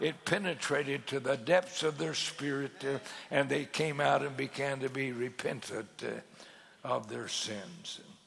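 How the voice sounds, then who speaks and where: Over noticeable background noise, a man with a fairly high pitch talks in an animated tone with ordinary pitch variation. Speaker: pastor. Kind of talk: sermon. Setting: church conference stage with audience. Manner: animated, fervent pulpit delivery with emphatic repetition and pauses.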